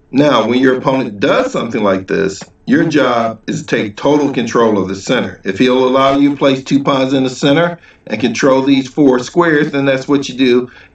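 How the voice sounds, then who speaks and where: A man talks at a fairly quick pace with ordinary pitch variation. Room echo is audible. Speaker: chess teacher. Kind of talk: tutorial. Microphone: webcam.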